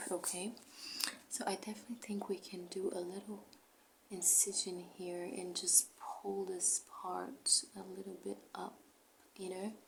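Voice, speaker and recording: Noticeable background noise sits behind a fairly slow delivery with fairly even intonation. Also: woman, medium pitch for a woman. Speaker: ASMR creator doing a doctor roleplay. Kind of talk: ASMR roleplay, personal attention. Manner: soft-spoken, whispering.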